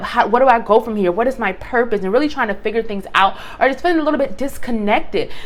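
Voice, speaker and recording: The speech comes at a very fast pace against noticeable background noise. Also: woman. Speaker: tarot reader. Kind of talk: tarot reading video. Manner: halting, some stuttering.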